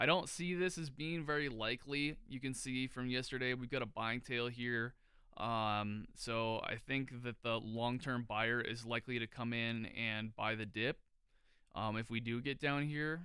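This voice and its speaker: At a fairly slow pace, a man with a medium pitch and a bright, sharp tone speaks with ordinary pitch variation. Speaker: market analysis streamer. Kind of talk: live market analysis with screen share. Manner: halting, many fillers and stutters; casual.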